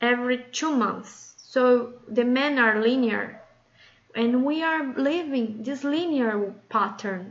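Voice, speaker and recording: A woman speaks very slowly in a fairly high voice, with ordinary pitch variation. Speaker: women's circle facilitator. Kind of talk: casual talk to camera. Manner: hesitant, with fillers.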